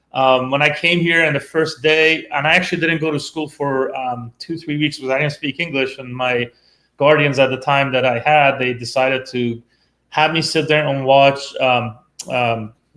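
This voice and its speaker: Speaking with a Persian accent, a man has a bright, sharp tone, fairly high pitch and fairly even intonation. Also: moderate pace. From Iran. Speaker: tech professional turned robotics teacher. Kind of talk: interview. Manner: hesitant, many fillers.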